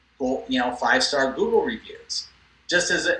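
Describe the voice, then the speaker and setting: A man speaks at a moderate pace while noticeable background noise persists. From US West Coast (Los Angeles). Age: 60s. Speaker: cosmetic dentist. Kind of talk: interview.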